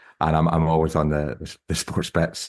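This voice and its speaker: At a fairly quick pace, a man with a very deep, low pitch speaks in fairly even intonation, recorded dry and close with no echo. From Scotland. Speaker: sports betting journalist and music producer. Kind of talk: casual chat.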